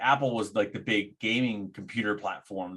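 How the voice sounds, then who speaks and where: A man with an unremarkable speaking voice talks at a fairly low pitch with ordinary pitch variation. The recording is very clean, with a silent background. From grew up in Thailand and India, moved to US at five. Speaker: game designer and entrepreneur. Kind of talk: podcast interview. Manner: conversational, with filler words.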